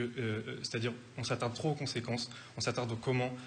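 A man talks very fast at a medium pitch, his voice somewhat breathy. His intonation is monotone and flat, with light background noise behind him. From France. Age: 20s. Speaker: parliamentary candidate. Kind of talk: televised political debate. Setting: TV studio. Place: studio. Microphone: studio mic.

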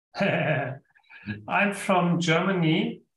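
Audible room echo surrounds a man's voice. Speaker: guest. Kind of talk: interview answer. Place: home room. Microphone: video call.

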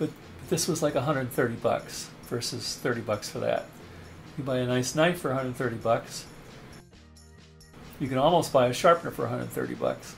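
A man's medium-pitched voice, with ordinary pitch variation, is heard with music in the background. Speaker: knife sharpening hobbyist. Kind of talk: casual product review to camera.

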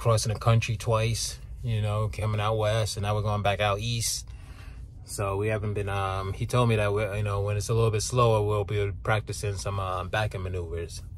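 A fairly quick, somewhat breathy male voice with fairly even intonation, in dry, echo-free sound over light background noise. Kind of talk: casual vlog chat. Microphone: phone near.

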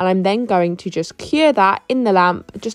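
There is noticeable background noise as a woman speaks at a moderate pace. Her medium pitch shows ordinary variation. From Essex, England. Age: 20s. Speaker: beauty therapist. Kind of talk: tutorial voice-over. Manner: casual.

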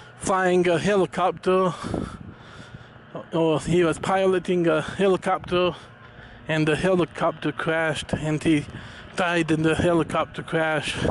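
Over noticeable background noise, a man speaks in a high pitch at a fairly slow pace. His intonation is monotone and flat, and the sound is dry with no echo. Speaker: vlogger. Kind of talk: casual vlog chat. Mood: calm, reflective. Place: open country. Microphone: phone near.

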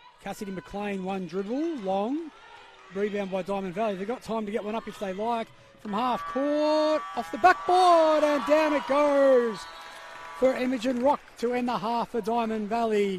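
Speaking at a moderate pace with a high pitch and lively intonation, a man is heard through noticeable background noise. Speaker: basketball commentator. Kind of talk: live sports commentary. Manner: rattles off names and stats.

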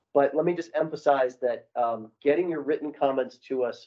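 Over a quiet background, a man's speech moves at a moderate pace. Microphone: video call.

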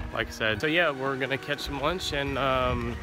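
A man at a moderate pace, dry with no echo, clear music in the background. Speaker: travel vlogger. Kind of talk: casual vlog chat. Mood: relaxed, content. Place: forest. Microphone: phone near.

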